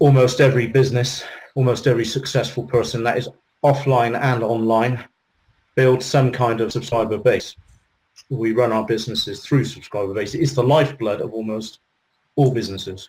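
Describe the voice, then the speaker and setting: Somewhat breathy, medium-pitched male voice with a British accent at a fairly quick pace. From UK. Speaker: business coach and internet marketer. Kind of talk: interview Q&A.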